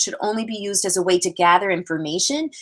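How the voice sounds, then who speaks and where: A woman with a medium pitch speaks at a fairly quick pace in an energetic tone, her pitch varying in an ordinary way. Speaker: physical education presenter. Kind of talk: webinar presentation. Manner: fast.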